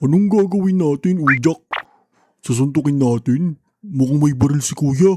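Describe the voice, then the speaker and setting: In a cartoonish character voice, a man speaks with a fairly high pitch and ordinary pitch variation, with a dry, close sound with no echo. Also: moderate pace. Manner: easygoing, gullible.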